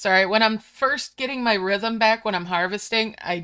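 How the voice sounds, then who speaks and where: A woman with a slight New York accent talks at a moderate pace in a relaxed, bright and sharp tone, her medium pitch rising and falling by ordinary amounts. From Upstate New York. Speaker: gaming streamer. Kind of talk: live gameplay stream chat. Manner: casual, relaxed.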